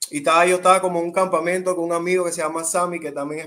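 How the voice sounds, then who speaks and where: A man with a high pitch, a bright, sharp tone and a Colón Panamanian accent. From Panama, Colón. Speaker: urban music artist. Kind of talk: interview.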